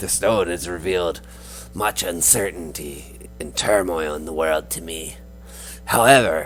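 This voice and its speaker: Clear music plays in the background. Over it, a man uses a put-on character voice with a very deep, low pitch. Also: moderate pace. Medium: actual play. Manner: earnest, speaks of herself in third person.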